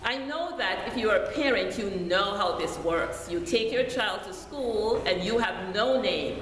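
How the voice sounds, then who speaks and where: A woman with a Jamaican accent speaks in a fairly high pitch with lively intonation at a fairly slow pace. Audible room echo and noticeable background noise fill the recording. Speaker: deacon preaching. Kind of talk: sermon.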